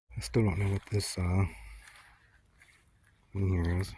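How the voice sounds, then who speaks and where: A soft-spoken man with a very deep, low voice, at a fairly slow pace. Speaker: home gardener. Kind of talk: casual gardening talk to camera. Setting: outdoors.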